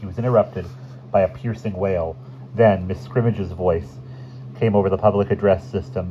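The reading is done in a natural reading voice.

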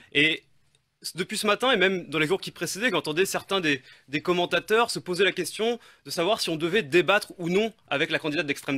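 Captured on a very clean recording with a silent background and a dry, close sound with no echo, a man speaks very fast in a bright, sharp tone. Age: 30s. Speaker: political candidate. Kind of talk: radio interview.

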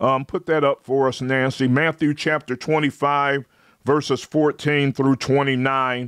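Very slowly and with very even loudness, a man with a fairly high pitch speaks in a monotone, flat delivery, the sound dry with no echo over a quiet background. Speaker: preacher. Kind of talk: live-streamed sermon with call-and-response. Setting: online livestream. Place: home room. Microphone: studio mic.

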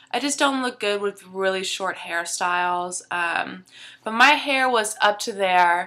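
A woman speaks at a fairly slow pace in a medium pitch with ordinary pitch variation. Her tone is bright and sharp. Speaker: beauty vlogger. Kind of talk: casual vlog. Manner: hesitant, many fillers.

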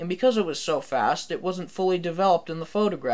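A reading voice, unforced

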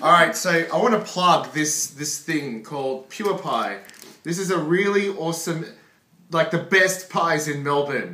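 Audible room echo surrounds a high-pitched man speaking at a fairly slow pace. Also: ordinary pitch variation. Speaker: food vlogger. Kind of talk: casual vlog chat. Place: home room. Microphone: phone near.

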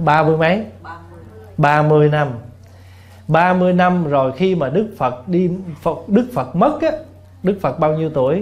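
Over faint background music, a man speaks at a fairly slow pace with ordinary pitch variation and long, frequent pauses. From southern Vietnam. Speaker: Buddhist monk; monk teacher. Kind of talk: dharma talk answering questions. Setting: temple hall with audience. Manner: humorous. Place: hall. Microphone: podium.

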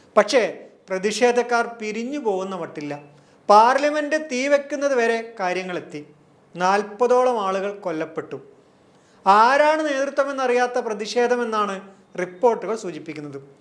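A man with a high pitch, lively intonation and big swings in loudness. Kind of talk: scripted narration. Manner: formal.

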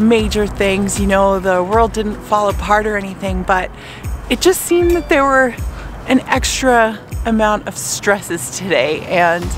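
Against faint music in the background, a woman speaks at a fairly slow pace in a dry sound with no echo. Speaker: photographer vlogger. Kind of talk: casual vlog chat. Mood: relieved, happy, reflective. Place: open country. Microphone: phone near.

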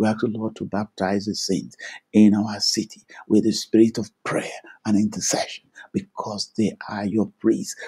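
Speaking at a moderate pace, a man is heard over a quiet background. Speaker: preacher and prayer teacher. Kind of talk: fervent intercessory prayer, led aloud with Amens. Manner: fervent, declarative, commanding; rhythmic, repeating 'Thank you, Lord' and 'in the name of Jesus'. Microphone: video call.

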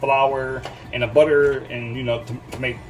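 The speaker is a man. Clear music plays in the background. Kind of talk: casual cooking vlog chat. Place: kitchen. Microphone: phone near.

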